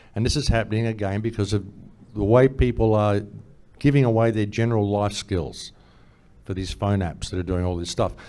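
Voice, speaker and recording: The voice has a dark, mellow tone with an Australian accent and a fairly quick pace. Long pauses come often. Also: man, fairly low pitch for a man. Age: 60s. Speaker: conference speaker. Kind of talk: panel discussion. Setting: stage with audience. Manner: animated.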